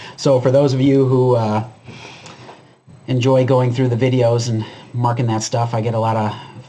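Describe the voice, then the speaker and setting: A man at a fairly quick pace and medium pitch, with audible room echo and noticeable background noise. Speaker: preparedness YouTuber. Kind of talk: commentary video monologue. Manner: casual, filler-heavy.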